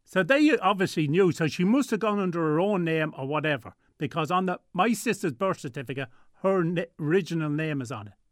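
On a very clean recording with a silent background, a man with an Irish Midlands accent speaks at a high pitch with lively intonation. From Ireland, Tullamore, County Offaly. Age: 60s. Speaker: guest sharing family story. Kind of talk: radio interview. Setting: studio.

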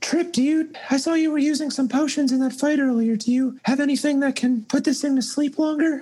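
Someone uses a put-on character voice, high in pitch and fairly quick in pace. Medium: actual play. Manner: practical, slightly exasperated.

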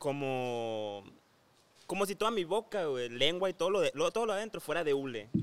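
Very wide pitch swings mark this man's voice at a moderate pace. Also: fairly high pitch for a man. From Hermosillo, Sonora, northwest Mexico. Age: 20s. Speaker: influencer. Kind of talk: casual chat.

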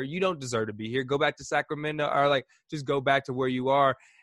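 A man with an American accent speaks in a normal speaking voice, fairly high in pitch, at a moderate pace. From Indianapolis, US Midwest. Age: 20s. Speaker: video producer and on-air host. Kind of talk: casual interview chat.

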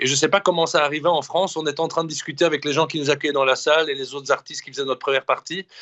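The speaker is a man. His pitch is high. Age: 40s. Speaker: singer-songwriter. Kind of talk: casual interview. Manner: hesitant, many repetitions.

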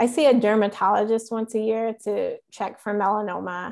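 A woman with a normal speaking voice, medium pitch and fairly even intonation. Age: 30s. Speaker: lawyer and patient advocate. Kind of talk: interview.

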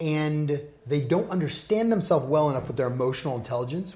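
A man talks at a very fast pace. His tone is dark and mellow, somewhat breathy. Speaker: podcast host. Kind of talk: interview.

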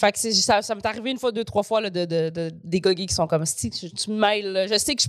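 Recorded very cleanly against a silent background, a woman with an ordinary speaking voice talks at a moderate pace, medium in pitch with ordinary pitch variation. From Quebec. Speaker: comedian. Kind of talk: casual chat.

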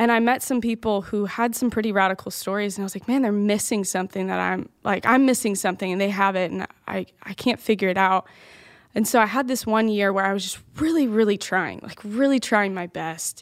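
A woman's medium-pitched voice with a slight Southern US accent, ordinary pitch variation and a fairly quick pace, on a very clean recording with a silent background. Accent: slight Southern twang. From Louisiana. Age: 20s. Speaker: youth pastor. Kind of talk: personal testimony.

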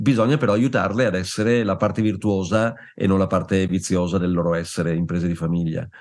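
Very deep and low, a man's voice moves at a fairly quick pace. His loudness stays very even over a quiet background. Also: ordinary pitch variation, hardly any pauses. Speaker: family business consultant and author. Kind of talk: interview.

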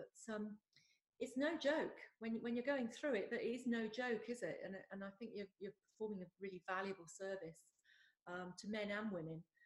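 Speaking at a moderate pace with an English accent, a woman has a somewhat breathy, fairly high voice with ordinary pitch variation. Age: 50s. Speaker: podcast host. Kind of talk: interview. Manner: hesitant, many fillers.

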